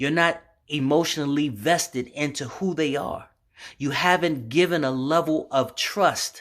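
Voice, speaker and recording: Fairly slow pace on a very clean recording with a silent background. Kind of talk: sermon-style monologue. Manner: halting.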